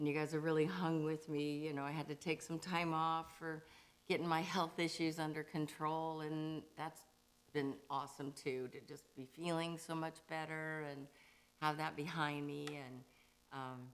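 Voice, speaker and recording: A woman's voice, very deep and low in pitch, holds a monotone, flat intonation. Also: moderate pace. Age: 60s. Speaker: singer hosting a monthly livestream. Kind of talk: casual chat. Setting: livestream.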